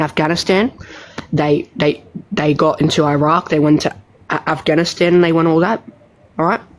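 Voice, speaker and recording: A woman speaks in an Australian accent at a fairly low pitch and fairly quick pace, with fairly even intonation. Her loudness stays very even, and she leaves long, frequent pauses. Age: young. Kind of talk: heated debate. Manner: halting.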